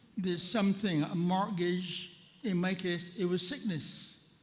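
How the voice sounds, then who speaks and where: At a fairly slow pace and high pitch, a man speaks in a room with audible echo. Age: 80s+. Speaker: policyholder asking a question at a public meeting. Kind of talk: question from the floor at a town hall. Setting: town hall meeting with audience, at a microphone. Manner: halting, with many repetitions.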